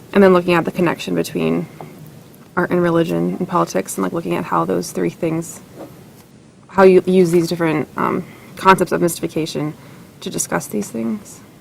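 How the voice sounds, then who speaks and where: A woman speaks at a fairly quick pace with long, frequent pauses over noticeable background noise. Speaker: writing workshop participant. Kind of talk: workshop feedback discussion. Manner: fast; hesitant, with fillers.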